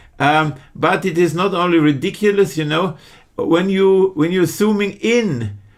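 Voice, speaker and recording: Speech with a German accent moves at a fairly slow pace with ordinary pitch variation. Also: man, high pitch for a man. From Germany. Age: 50s. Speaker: online true crime commentator. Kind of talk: casual video commentary. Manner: halting, many fillers and restarts.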